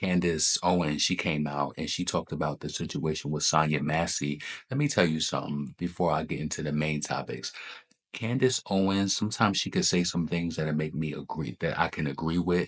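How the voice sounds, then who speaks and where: A man's very deep, low voice at a fairly quick pace with ordinary pitch variation, against a quiet background. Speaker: commentary vlogger. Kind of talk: casual commentary vlog. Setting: at mother's home. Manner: speaking quietly.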